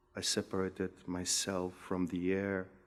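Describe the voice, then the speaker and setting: On a very clean recording with a silent background, a man talks at a very slow pace in a very deep, low voice with monotone, flat intonation. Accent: Macedonian. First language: Macedonian. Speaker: poet. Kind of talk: poetry reading.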